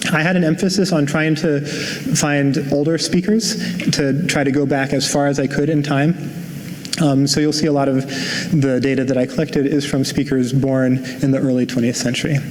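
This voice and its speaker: A man with an American accent speaks at a fairly high pitch, with fairly even intonation and very even loudness. Noticeable background noise is present. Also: moderate pace. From New Jersey. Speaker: linguist. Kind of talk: lecture.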